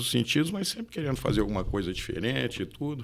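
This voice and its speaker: Pitched in the medium range, a man's voice makes very wide pitch swings. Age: 60s. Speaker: real estate broker and engineer. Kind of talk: podcast interview. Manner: halting.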